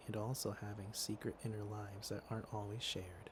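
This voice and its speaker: A soft-spoken man with a fairly low, somewhat breathy voice at a moderate pace. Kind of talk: ASMR ramble, casual chat to listener.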